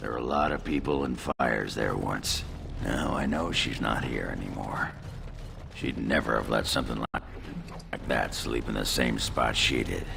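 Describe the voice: Through loud background noise, a man performs a cartoonish character voice at a moderate pace.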